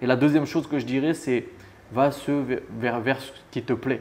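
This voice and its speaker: This man speaks at a medium pitch in a monotone, flat delivery. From France, Annemasse near Geneva. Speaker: real estate investor. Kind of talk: interview. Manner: casual.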